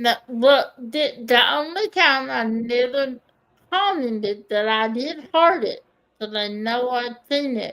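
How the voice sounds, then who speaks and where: Speaking very slowly, a woman has a strong Kentucky accent. Her high pitch rises and falls in lively intonation. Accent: thick Kentucky. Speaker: diamond painting YouTuber. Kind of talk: casual chat.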